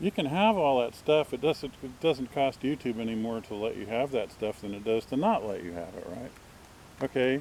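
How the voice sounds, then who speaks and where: A man with an American accent speaks at a moderate pace and medium pitch, his intonation lively and his loudness swinging widely. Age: 60s. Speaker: vlogger. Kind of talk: casual monologue. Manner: rambling, halting.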